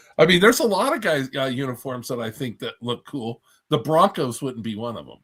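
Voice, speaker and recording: A man with a normal speaking voice talks at a fairly quick pace in a medium pitch, with lively intonation and big swings in loudness. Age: 60s. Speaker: reptile breeder on podcast panel. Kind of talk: casual chat.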